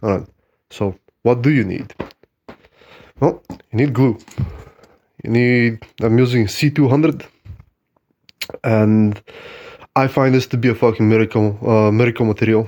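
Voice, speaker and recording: The speaker moves at a moderate pace, broken by long, frequent pauses. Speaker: hobbyist tabletop gamer. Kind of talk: tutorial. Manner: casual, halting with fillers.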